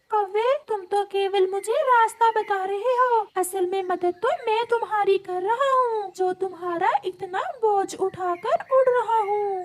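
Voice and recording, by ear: Putting on a cartoonish character voice, a woman speaks at an extremely high pitch and a fairly slow pace.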